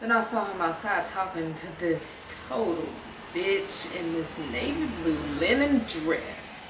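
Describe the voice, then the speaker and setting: Through noticeable background noise, a woman speaks at a fairly slow pace. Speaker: actor performing a monologue. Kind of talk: dramatic monologue. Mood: bitter, hurt, emotional. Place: home room. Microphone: webcam.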